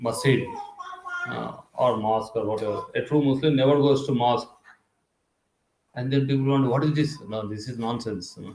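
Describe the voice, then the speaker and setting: A man speaks at a medium pitch with a Telugu accent. His intonation stays fairly even, and audible room echo surrounds the voice. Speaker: spiritual teacher. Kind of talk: lecture. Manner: conversational, halting with fillers.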